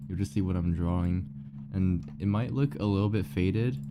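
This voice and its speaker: With music in the background, a soft-spoken man mumbles in a very deep, low pitch. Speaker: streamer. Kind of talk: casual live-stream chat. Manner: mumbling.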